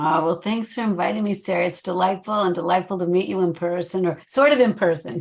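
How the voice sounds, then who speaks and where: A woman at a medium pitch, very fast, with hardly any pauses and ordinary pitch variation. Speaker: therapist and trainer. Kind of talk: interview. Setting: video call.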